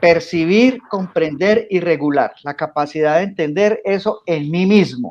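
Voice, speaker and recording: At a fairly slow pace and with hardly any pauses, a man talks in a high pitch with ordinary pitch variation. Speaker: coach and teacher. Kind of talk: radio interview.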